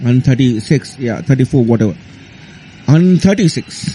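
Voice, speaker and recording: With an Indian accent, a man with a fairly high voice swings his pitch very widely over noticeable background noise. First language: Hindi. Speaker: cricket commentator. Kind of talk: radio studio discussion. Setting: radio studio. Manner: halting.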